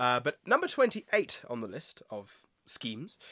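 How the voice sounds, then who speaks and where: A man's bright, sharp tone in a British accent. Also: dry, close sound with no echo, very clean recording, silent background. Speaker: podcast host. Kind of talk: casual chat.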